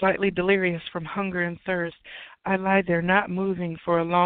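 The voice is reading aloud. It sounds natural.

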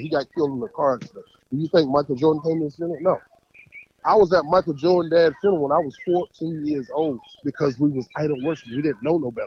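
A man speaks very fast in an animated tone, his fairly high pitch showing ordinary variation, with a dry, close sound and no echo. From North Carolina. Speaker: caller. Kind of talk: heated call-in commentary.

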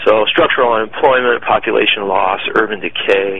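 A man with an American accent at a moderate pace, against noticeable background noise. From Michigan, US. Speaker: founder of a city media brand. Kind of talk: interview.

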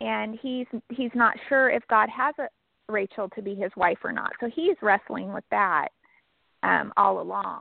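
In a Californian accent, a woman speaks. Her pace is fairly slow. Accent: Californian American. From northern California (Sutter Buttes farming area). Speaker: novelist. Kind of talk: interview.

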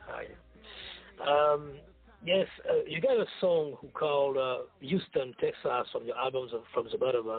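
A French accent marks this voice. It belongs to a man. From France. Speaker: co-interviewer, rap fan. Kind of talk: interview.

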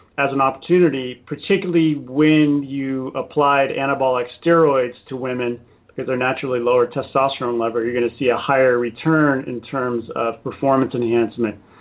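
A man with a General American accent has an unremarkable speaking voice at a fairly high pitch. He talks at a fairly quick pace with ordinary pitch variation. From US, San Diego. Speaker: author. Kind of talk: interview. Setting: radio show.

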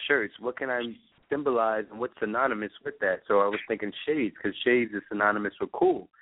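A man with an American accent talks at a fairly quick pace and medium pitch. He has a plain, everyday voice. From New York. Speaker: eyewear designer and business owner. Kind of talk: interview. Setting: phone call.

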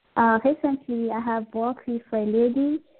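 With a French accent, a woman speaks at a moderate pace in a flat monotone at a fairly high pitch. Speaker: spiritual healer and pharmacist. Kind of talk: interview about spiritual healing. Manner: halting, with fillers.

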